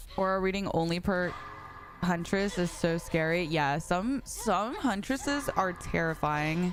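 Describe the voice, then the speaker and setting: Over music in the background, a woman speaks with an animated tone at a fairly slow pace. Her pitch is medium with ordinary variation, and her loudness stays very even. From North Carolina. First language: Spanish. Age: 20s. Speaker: video game streamer. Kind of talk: casual chat.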